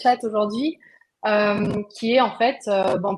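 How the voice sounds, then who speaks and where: Very slowly and with fairly level intonation, a woman talks. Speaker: webinar host, procurement software founder. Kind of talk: live webinar hosting. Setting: online video webinar. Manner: hesitant, many filler words.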